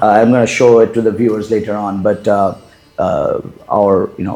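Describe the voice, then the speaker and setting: Over music in the background, a man talks at a moderate pace with fairly low pitch and monotone, flat intonation. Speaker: interviewer. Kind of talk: interview questions.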